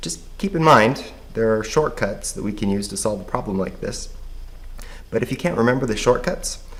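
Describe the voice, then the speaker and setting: Audible room echo surrounds a man speaking at a moderate tempo. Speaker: math teacher. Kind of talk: tutorial.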